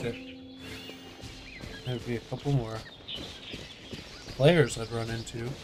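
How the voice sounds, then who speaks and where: The speaker mumbles with fairly even intonation and long, frequent pauses over noticeable background noise. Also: man, big swings in loudness. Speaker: gamer streamer. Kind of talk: gameplay commentary. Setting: home gaming setup, wearing headphones. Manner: mumbling; casual.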